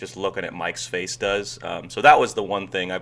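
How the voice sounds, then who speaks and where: With an American accent, a man talks in a fairly low-pitched voice. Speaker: goalkeeper coach, former professional goalkeeper. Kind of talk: casual chat, video reaction. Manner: monotone.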